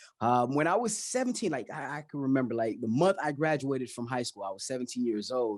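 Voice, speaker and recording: A man with a Haitian accent, medium pitch, ordinary pitch variation and a fairly quick pace over a quiet background. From Miami, Florida (Haitian family). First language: Haitian Creole. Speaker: financial educator, YouTuber. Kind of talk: interview.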